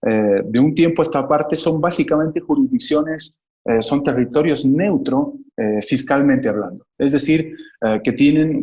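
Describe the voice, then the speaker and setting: In a Bolivian accent, a man with a fairly high pitch and a dark, mellow tone speaks at a moderate pace with very wide pitch swings. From Bolivia, Cochabamba. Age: 30s. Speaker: economist, investment advisor. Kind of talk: interview.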